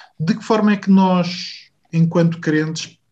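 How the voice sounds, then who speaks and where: Somewhat breathy, a man speaks fairly slowly with ordinary pitch variation. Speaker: podcast host. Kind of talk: interview conversation.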